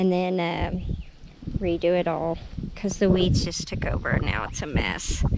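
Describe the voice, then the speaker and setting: Audible room echo carries a woman's fairly low voice, flat and monotone in intonation. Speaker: homesteader. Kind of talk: casual vlog walkthrough. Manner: hesitant, with fillers.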